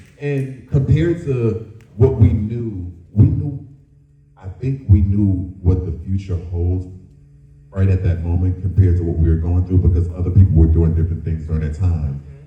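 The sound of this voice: A man with a low voice talks at a moderate pace and fairly even intonation, with audible room echo.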